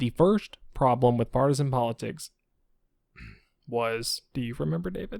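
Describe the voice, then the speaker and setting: A quiet voice with lively intonation at a moderate pace, long, frequent pauses and a dry, close sound with no echo. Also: man, medium pitch for a man. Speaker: podcast co-host. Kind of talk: casual discussion. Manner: talking quietly.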